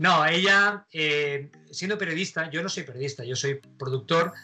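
Music plays in the background. A man speaks at a fairly high pitch with ordinary pitch variation. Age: 50s. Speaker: radio host, actor and pilot. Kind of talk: casual interview.

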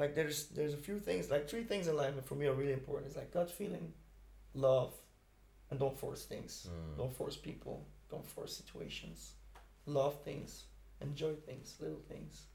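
With a Dutch accent, a man talks at a moderate pace amid noticeable background noise and audible room echo. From Belgium, Ghent. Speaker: music producer. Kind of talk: casual interview. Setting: studio.

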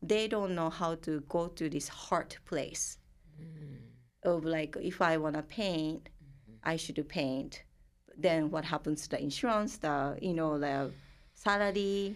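A woman with a Japanese accent, very slow pace, long and frequent pauses. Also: fairly low pitch for a woman, ordinary pitch variation. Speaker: therapist working with multicultural clients. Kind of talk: casual interview conversation.

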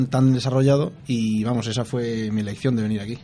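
A man speaks with a Spanish accent. His intonation stays fairly even. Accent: Spanish (Spain). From Spain, Madrid. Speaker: mining engineering student. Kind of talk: radio interview.

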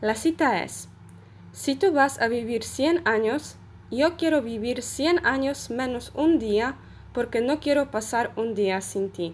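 A woman's high voice, very slow with lively intonation, on a very clean recording with a silent background. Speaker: Spanish language student. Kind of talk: short prepared talk.

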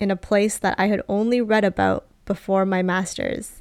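A woman with a Canadian accent has a normal speaking voice, captured on a very clean recording with a silent background and a dry, close sound with no echo. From Canada. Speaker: podcast host, grad school adviser. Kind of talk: scripted personal monologue.

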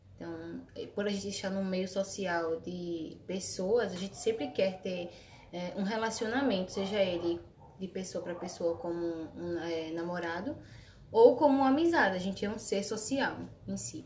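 Over noticeable background noise and audible room echo, a woman of medium pitch speaks at a moderate pace with ordinary pitch variation. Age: 20s. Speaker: nursing student. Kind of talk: casual chat.

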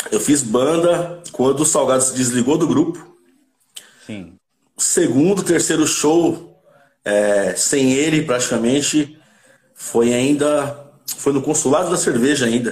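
A man talking at a very slow pace, with long, frequent pauses and ordinary pitch variation. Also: fairly high pitch for a man. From Santo André, São Paulo, Brazil. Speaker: cavaquinho player and music producer. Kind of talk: casual interview chat.

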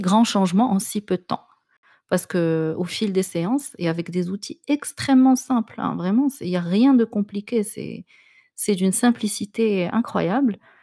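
Dark and mellow in tone, the voice moves at a fairly slow pace with ordinary pitch variation, recorded dry and close with no echo, very clean against a silent background. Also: woman. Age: 30s. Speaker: podcast host and life coach. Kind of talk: personal monologue podcast. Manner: hesitant, frequent fillers and repetitions.

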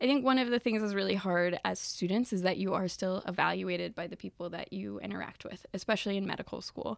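A woman with an American accent and a plain, everyday voice speaks fairly quickly in medium pitch, in a very clean recording with a silent background. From US South. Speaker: medical student. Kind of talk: casual interview. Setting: call.

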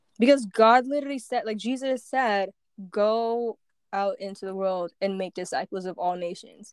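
A woman with a normal speaking voice at a moderate pace, in a dry, close sound with no echo. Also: fairly high pitch for a woman, ordinary pitch variation. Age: 20s. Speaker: podcast co-host. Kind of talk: casual chat.

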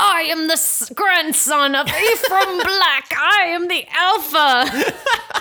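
A woman growls in a put-on character voice pitched extremely high. She talks at a fairly slow pace with long, frequent pauses. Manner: gravely self-important.

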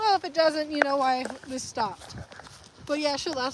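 Against noticeable background noise, a woman with a high pitch talks at a moderate pace, her intonation lively. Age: 20s. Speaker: vlogger. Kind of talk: casual chat. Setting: outdoors.

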